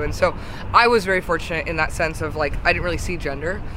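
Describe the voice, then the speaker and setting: Very fast speech pushes through noticeable background noise. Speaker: singer and music creator. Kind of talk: casual interview chat. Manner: chatty, laughs often, uses fillers.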